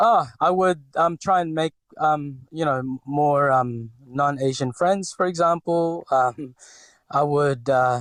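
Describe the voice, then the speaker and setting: In a very clean recording with a silent background and a dry, close sound with no echo, a man with a fairly high pitch speaks at a very slow pace with ordinary pitch variation. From Philippines (Cebu). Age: 40s. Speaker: restaurateur. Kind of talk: interview. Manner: hesitant, many fillers.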